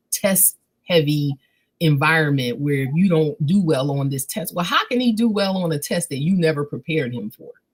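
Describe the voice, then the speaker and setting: A woman speaks with an American accent at a moderate pace. Her voice is somewhat breathy and very deep, low in pitch. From Philadelphia. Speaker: literacy advocate. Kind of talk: interview.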